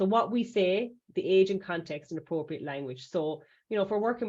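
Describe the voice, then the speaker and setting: The speaker has an Irish accent and a dark, mellow tone. The pace is fairly quick. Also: woman. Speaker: safeguarding trainer. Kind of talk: webinar presentation. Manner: fast; hesitant, with many fillers.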